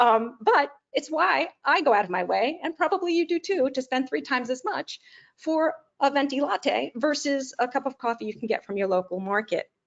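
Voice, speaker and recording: A woman speaks at a high pitch with very wide pitch swings. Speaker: webinar presenter, business executive. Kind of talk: webinar presentation. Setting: online webinar. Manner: fast.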